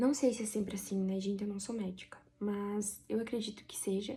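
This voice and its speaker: Somewhat breathy and dark, mellow in tone, a woman speaks at a fairly high pitch with fairly even intonation. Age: 30s. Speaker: vlogger. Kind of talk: personal testimony.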